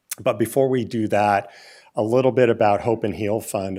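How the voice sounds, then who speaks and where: A man's fairly low, dark, mellow voice with fairly even intonation at a moderate pace, on a very clean recording with a silent background. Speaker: gun violence prevention fund leader. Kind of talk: panel presentation. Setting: stage with audience. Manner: halting.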